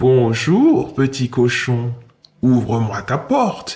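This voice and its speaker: The speaker uses a put-on character voice with a low-to-middle pitch. The delivery is very slow. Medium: read story. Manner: falsely polite.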